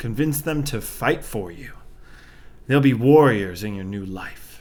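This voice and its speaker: A man uses a put-on character voice at medium pitch, speaking at a fairly slow pace. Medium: audio drama. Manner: smooth and sinister.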